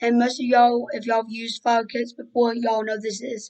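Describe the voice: Here a woman speaks at a moderate pace with a fairly high pitch. Her tone is slightly mellow, with little pitch movement.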